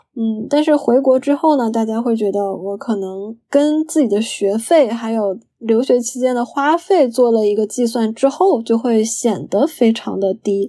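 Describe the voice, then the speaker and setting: A woman's fairly high voice with a dark, mellow tone, a fairly slow pace and hardly any pauses. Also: ordinary pitch variation. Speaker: registered dietitian. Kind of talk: interview conversation. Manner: halting, many fillers.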